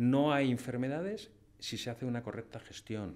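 A man's voice, moderate in pace, with ordinary pitch variation. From Spain, Madrid. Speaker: painter and hunter; podcast guest. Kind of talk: casual interview. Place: studio. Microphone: studio mic.

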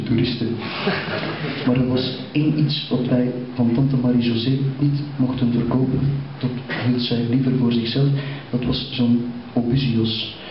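Over light background noise and audible room echo, a man talks at a fairly slow pace in a monotone, flat intonation. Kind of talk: stand-up storytelling monologue. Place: stage.

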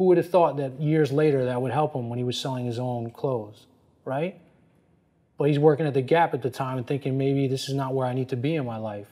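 Speaking with an American accent, a man goes at a fairly quick pace with medium pitch and fairly even intonation. His tone is dark and mellow. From US Northeast (New Jersey). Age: 40s. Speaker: fashion consultant and former lawyer; former lawyer. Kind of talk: interview. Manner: casual, many fillers. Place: office. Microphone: lapel.

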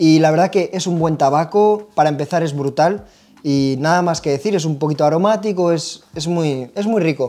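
A man with an unremarkable speaking voice talks at a moderate pace, fairly high in pitch with ordinary pitch variation. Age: 30s. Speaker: pipe tobacco shop video host. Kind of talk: casual product review chat. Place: shop. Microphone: lapel.

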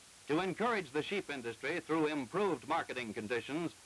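Music plays behind a man with a fairly high pitch. He talks at a fairly quick pace with very wide pitch swings. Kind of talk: 1948 educational film narration. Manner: formal, measured, didactic; brisk and matter-of-fact, like a newsreel announcer.

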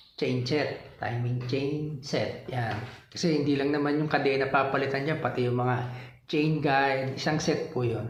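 A man's fairly high voice at a moderate pace, with very even loudness, fairly even intonation, noticeable background noise and audible room echo. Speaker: motorcycle vlogger. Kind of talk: tutorial. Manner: casual, hesitant with fillers.

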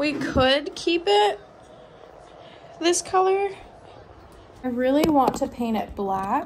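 A high-pitched woman speaks at a very slow pace, her pitch swinging very widely. Long, frequent pauses break up her speech over light background noise. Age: 20s. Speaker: vlogger. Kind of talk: casual vlog talk to camera. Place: kitchen. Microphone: phone near.

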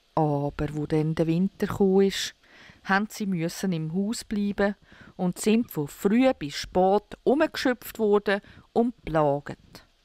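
A dark, mellow voice with a Swiss German accent speaks at a very slow pace, with ordinary pitch variation. The recording is very clean and silent behind, with a dry, close sound and no echo. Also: woman. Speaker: storyteller. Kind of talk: fairy tale reading.

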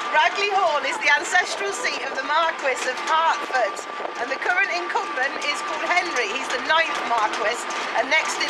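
Crowd noise fills the background as a woman speaks at a moderate pace. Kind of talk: casual conversation. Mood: cheerful. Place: bus. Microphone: phone near.

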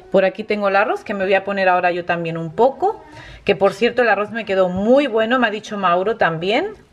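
A woman at a fairly quick pace with ordinary pitch variation. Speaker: family vlogger. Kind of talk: casual vlog chat. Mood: cheerful, enthusiastic. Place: kitchen. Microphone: phone near.

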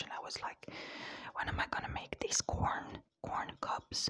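A woman whispers. Her pace is fairly slow. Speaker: ASMR creator. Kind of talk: ASMR whisper ramble to camera. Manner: whispered, cupped close to the mic; tired, soft. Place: home room. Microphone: lapel.

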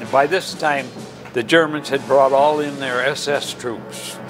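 Over clear background music, a man with a fairly high pitch and an American accent speaks at a moderate pace. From Michigan. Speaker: war veteran. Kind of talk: interview answer. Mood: earnest, grave recollection. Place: home room. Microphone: lapel.

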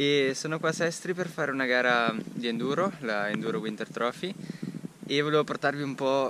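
Ordinary pitch variation marks this man's moderate pace, heard in a dry sound with no echo and light background noise. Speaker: mountain bike vlogger. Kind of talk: casual vlog chat. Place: forest. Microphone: phone near.

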